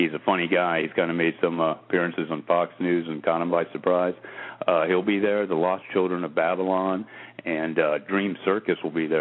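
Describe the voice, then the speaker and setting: A man speaks in a very deep, low voice. His intonation stays monotone and flat. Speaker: radio show host. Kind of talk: internet radio news roundup. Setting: internet radio call-in show. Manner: fast.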